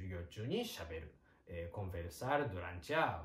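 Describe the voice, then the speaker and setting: A man with a Japanese accent talks with vocal fry. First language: Japanese (speaking Portuguese). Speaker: Japanese teacher. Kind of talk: online language lesson.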